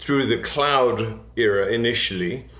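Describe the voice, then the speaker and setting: Audible room echo surrounds the voice. A man speaks at a fairly slow pace. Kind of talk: interview answer. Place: home room. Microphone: webcam.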